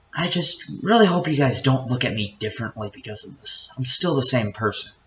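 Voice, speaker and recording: A man speaks fairly quickly at a medium pitch, his intonation lively and his loudness swinging widely. Noticeable background noise runs underneath. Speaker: YouTuber telling personal story. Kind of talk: unscripted personal storytelling. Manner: stuttering; off the cuff, unscripted. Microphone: laptop.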